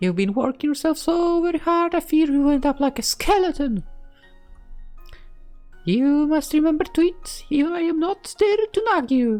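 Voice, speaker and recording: Over faint music in the background, a woman uses a put-on character voice at an extremely high pitch, with lively intonation and a moderate pace. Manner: nagging, motherly.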